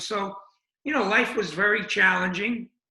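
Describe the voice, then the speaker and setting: A man with an American accent uses a raised, projected voice and fairly even intonation. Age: 70s. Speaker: addiction recovery running club founder. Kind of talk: interview. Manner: halting, many fillers.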